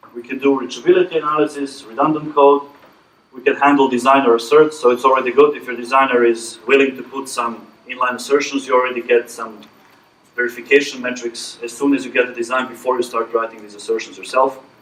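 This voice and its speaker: A man at a medium pitch, monotone and flat, very fast, with big swings in loudness and noticeable background noise. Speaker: conference presenter, verification engineer. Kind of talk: technical presentation with Q&A.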